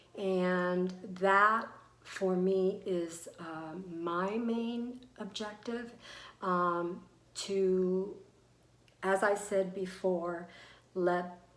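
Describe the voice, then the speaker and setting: A woman at medium pitch, very slow and fairly even in intonation, with long, frequent pauses and audible room echo. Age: 60s. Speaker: beauty vlogger. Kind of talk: product review tutorial. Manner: hesitant, many fillers.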